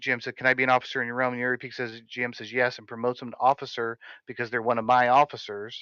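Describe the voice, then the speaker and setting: Recorded dry and close with no echo against a quiet background, a man speaks in a bright, sharp tone. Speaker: guild leader training officers. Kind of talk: training session. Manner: fast.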